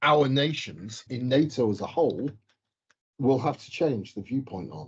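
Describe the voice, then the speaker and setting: A man talks at a moderate pace with lively intonation. There is vocal fry in his voice. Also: medium pitch for a man. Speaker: mining geochemist. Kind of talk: casual chat.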